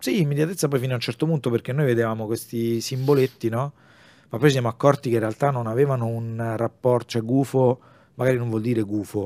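Recorded dry and close with no echo against a silent background in a very clean recording, a man talks very fast at medium pitch with fairly even intonation and a dark, mellow tone. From Rome, Italy. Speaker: comic artist and illustrator. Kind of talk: casual interview chat.

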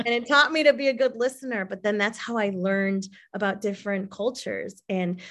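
A woman with an American accent and an unremarkable speaking voice at a medium pitch, moderate pace and ordinary pitch variation, over a quiet background. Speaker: diversity advocate. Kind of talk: casual chat. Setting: video call.

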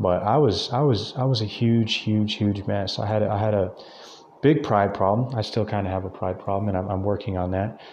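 This man has a fairly low pitch and fairly even intonation. He talks at a fairly quick pace. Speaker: podcast host. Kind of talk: solo motivational monologue. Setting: speaking into a mic alone. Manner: halting, many repetitions; extemporaneous, off the cuff.

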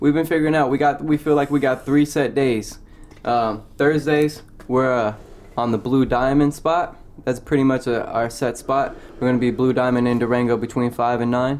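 With an unremarkable speaking voice, a man talks at a medium pitch and moderate pace, his intonation fairly even and his loudness very even. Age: 20s. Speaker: food truck business owner. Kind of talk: casual chat.

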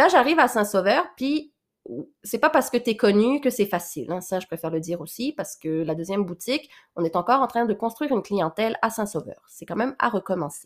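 On a very clean recording with a silent background, a woman speaks fairly quickly at a fairly high pitch, with very wide pitch swings. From Quebec (Laurentians), born in Réunion. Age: 20s. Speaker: podcast host and boutique owner. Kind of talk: casual monologue.

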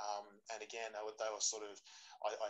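This man's pitch is fairly low. He speaks very fast. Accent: Australian. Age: 40s. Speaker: jiu-jitsu practitioner. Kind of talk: casual chat.

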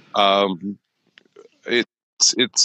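A bright, sharp tone in a dry, close sound with no echo. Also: man. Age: 40s. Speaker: lighting product manager. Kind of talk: casual chat. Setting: office, video call.

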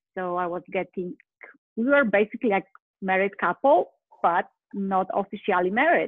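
A woman with a Polish accent speaks at a medium pitch and moderate pace. She uses ordinary pitch variation and takes long, frequent pauses. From Poland. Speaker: life coach. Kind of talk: interview. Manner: animated.

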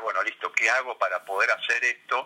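Noticeable background noise sits behind a man whose delivery is fairly quick. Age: 50s. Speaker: sports psychologist. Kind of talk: interview.

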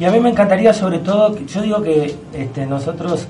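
A man speaks with ordinary pitch variation. Audible room echo and noticeable background noise accompany him. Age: 30s. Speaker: astrologer. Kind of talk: radio interview. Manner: animated.

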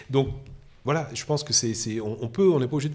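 This man talks at a very fast pace, somewhat breathy, with lively intonation. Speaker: photographer. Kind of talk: casual interview chat. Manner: animated, enthusiastic.

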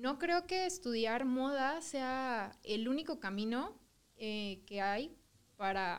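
This is a woman speaking with a Mexican accent. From southern Mexico. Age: 20s. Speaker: fashion design student. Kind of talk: casual chat.

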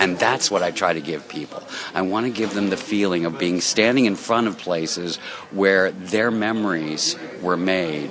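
There is noticeable background noise as a man speaks at a moderate pace. His very deep, low pitch shows ordinary variation. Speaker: walking tour owner. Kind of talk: interview, casual. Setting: restaurant interview.

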